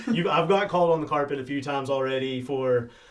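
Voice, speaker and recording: Amid noticeable background noise, a man with an American accent speaks very fast at medium pitch, his pitch varying in an ordinary way. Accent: strong southern Indiana redneck. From southern Indiana. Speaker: podcast co-host. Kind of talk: casual chat.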